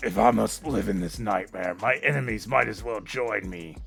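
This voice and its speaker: A man's put-on character voice, very deep and low in pitch, gravelly and raspy, with very wide pitch swings at a moderate pace over clear music in the background. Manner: brooding, grim.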